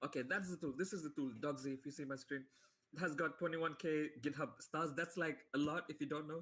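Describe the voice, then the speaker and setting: Fairly quick, a man speaks with fairly even intonation. His pitch is fairly high. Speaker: software developer giving a tutorial. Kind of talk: live tutorial webinar. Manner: fast; casual, filler-heavy.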